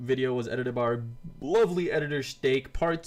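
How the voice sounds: Reading voice, natural in tone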